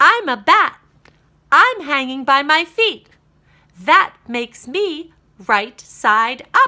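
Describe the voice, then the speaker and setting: A woman puts on a character voice, pitched high. She goes at a very slow pace, with long, frequent pauses. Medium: read story. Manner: playful, explanatory.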